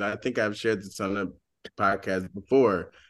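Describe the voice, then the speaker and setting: This man has an American accent, and the background is quiet. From US South, Georgia. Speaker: podcast co-host. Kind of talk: casual chat.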